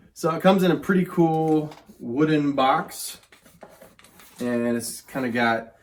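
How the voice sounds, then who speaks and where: A man's fairly high-pitched voice with ordinary pitch variation, a fairly slow pace and long, frequent pauses, over noticeable background noise. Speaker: whiskey reviewer. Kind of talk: casual chat.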